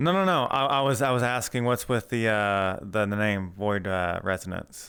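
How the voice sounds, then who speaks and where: Bright and sharp in tone, a man with a Southern US accent speaks at a fairly low pitch with ordinary variation. There is a very clean recording and a silent background. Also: moderate pace, very even loudness. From US Deep South. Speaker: streamer interviewer. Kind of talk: casual interview. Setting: VR live interview.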